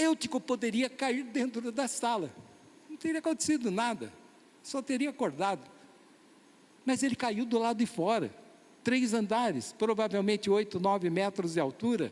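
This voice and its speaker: At a moderate pace and with long, frequent pauses, a man speaks at an extremely high pitch with lively intonation. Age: 60s. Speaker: pastor. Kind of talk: sermon.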